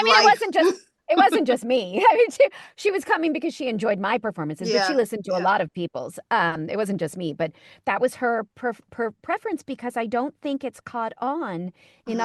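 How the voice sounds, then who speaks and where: Energetic and upbeat, a woman with an American accent speaks at a fairly high pitch and a fairly quick pace. Her pitch swings very widely, and the sound is dry and close with no echo. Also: quiet background. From New York City. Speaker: voice actor. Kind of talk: interview answer. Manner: energetic, upbeat.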